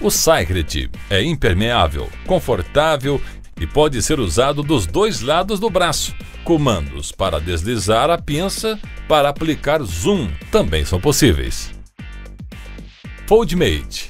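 Music plays in the background while a man speaks. His pace is very slow, with long, frequent pauses. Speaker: voice-over announcer. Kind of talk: tech product narration.

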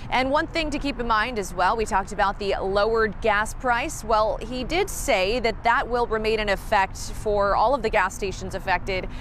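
At a moderate pace and with hardly any pauses, a woman speaks with ordinary pitch variation, the sound dry with no echo and light background noise behind her. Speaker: TV news reporter. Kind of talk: news stand-up report. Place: street.

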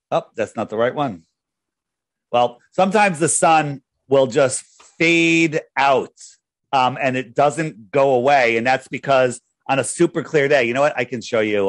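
A man's medium-pitched voice comes over a quiet background. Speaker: flat earth advocate and app developer; guest. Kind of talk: interview. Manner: talkative, runs on at length; self-described loud talker. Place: home room.

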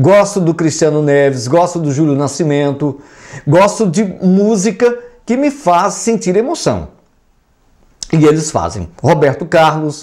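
Fairly slow, lively-toned speech with long, frequent pauses over a quiet background. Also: man, fairly high pitch for a man. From Brazil. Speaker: YouTube music commentator. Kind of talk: casual vlog commentary. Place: home room. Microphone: lapel.

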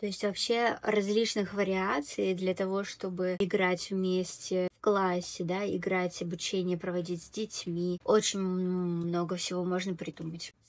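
Her intonation monotone and flat, a woman speaks at a fairly slow pace. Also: medium pitch for a woman. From Tatarstan, Russia. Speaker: video blogger and Korean language tutor; video blogger, Korean language tutor. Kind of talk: tutorial. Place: home room. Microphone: earbuds.

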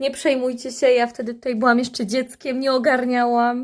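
A woman's high-pitched voice on a very clean recording with a silent background. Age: 30s. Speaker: vlogger. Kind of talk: casual monologue to camera. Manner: animated.

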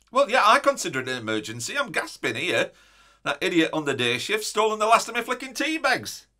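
A man talks at a fairly quick pace against a quiet background. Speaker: comic character. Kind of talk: comedy sketch monologue. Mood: indignant, complaining. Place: office.

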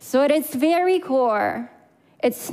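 At a very slow pace, a woman speaks in a high voice with ordinary pitch variation. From Crimea, Ukraine. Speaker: public speaker. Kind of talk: prepared talk. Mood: earnest, emotional. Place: stage. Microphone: headset.

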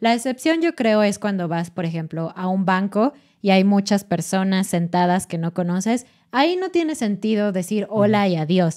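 A woman talks with lively intonation against a quiet background. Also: moderate pace. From Mexico City. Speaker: Spanish teaching podcast host; podcast co-host. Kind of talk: educational casual chat. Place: studio. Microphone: studio mic.

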